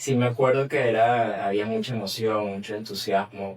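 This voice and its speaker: A man with a medium pitch speaks at a moderate pace. There is noticeable background noise. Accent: Venezuelan. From Venezuela. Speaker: journalist. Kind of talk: interview answer. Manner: casual, conversational.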